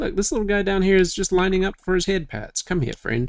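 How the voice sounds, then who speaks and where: A man talks at a fairly quick pace. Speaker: gaming YouTuber. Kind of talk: let's play commentary. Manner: subdued, chill.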